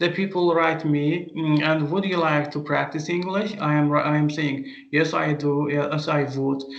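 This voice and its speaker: Amid audible room echo, a man speaks fairly slowly with hardly any pauses, at a fairly high pitch, in a monotone, flat intonation with very even loudness. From Azerbaijan. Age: 30s. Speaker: language teacher. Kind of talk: interview. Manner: halting, many fillers.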